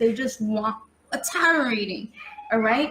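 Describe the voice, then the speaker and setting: A woman with a New York accent speaks at a fairly high pitch with lively intonation. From New York City. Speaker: tarot reader. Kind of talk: live-stream tutorial. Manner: casual, chatty.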